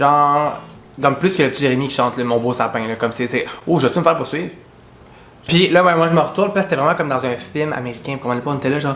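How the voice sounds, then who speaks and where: Someone talks at a very fast pace in a Quebec accent. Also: man, fairly high pitch for a man, ordinary pitch variation. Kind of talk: casual storytime to camera. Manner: animated, humorous.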